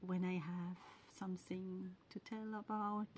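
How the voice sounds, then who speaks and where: A woman with a Swiss German accent at a medium pitch. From Switzerland (German-speaking). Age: 40s. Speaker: podcast host, knitter and spinner. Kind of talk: casual monologue. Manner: halting, many fillers and pauses.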